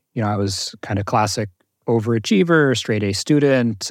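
Pitched at a medium level, a man speaks in a plain, everyday voice with an American accent. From US Northeast, North Jersey. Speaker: mindfulness teacher. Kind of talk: interview.

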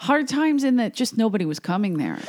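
Lively intonation marks the woman's speech. Her recording is very clean, with a silent background. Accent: Philadelphia. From US Northeast, South Philadelphia. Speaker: comedian. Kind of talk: casual chat. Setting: studio.

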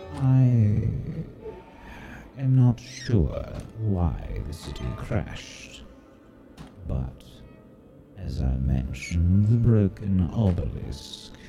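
A man's put-on character voice, very deep and low, with very wide pitch swings, a very slow pace, long, frequent pauses and faint music in the background. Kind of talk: archaic formal fantasy speech. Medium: actual play. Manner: formal, measured, guarded.

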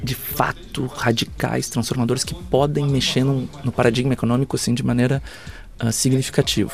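A man's fairly quick speech, with ordinary pitch variation, plays over noticeable background noise. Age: 40s. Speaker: futurist and speaker. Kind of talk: interview. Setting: backstage at an event. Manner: hesitant with repetitions.

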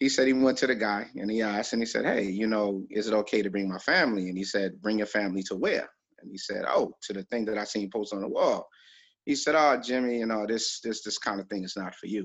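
A man with a New York accent talks at a very fast pace. His pitch is fairly low, with ordinary pitch variation. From New York, Brooklyn (Flatbush). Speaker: documentary filmmaker. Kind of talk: casual interview.

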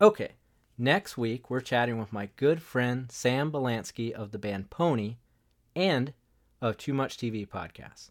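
A man with an unremarkable speaking voice talks at a fairly slow pace, in a medium pitch with lively intonation. The recording is very clean, with a silent background. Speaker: podcast host. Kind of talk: casual chat.

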